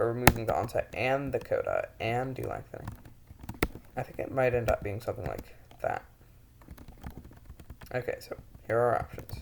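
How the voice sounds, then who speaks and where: The speech moves at a fairly quick pace, broken by long, frequent pauses. Background noise is noticeable. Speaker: conlanger. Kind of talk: casual screen-recorded tutorial talk. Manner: stuttering, halting speech.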